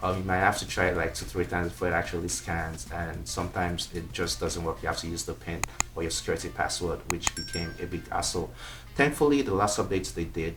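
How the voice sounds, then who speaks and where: A man with an African accent, very deep and low in pitch, with lively intonation at a very fast pace, audible room echo and noticeable background noise. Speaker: tech reviewer. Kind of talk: product review. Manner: casual, with frequent fillers (um).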